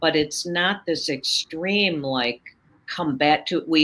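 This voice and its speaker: Bright and sharp in tone yet very deep and low, a woman's voice with an American accent moves with lively intonation. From US Midwest, Chicago. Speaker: author and confidence coach. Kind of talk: interview conversation. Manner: animated.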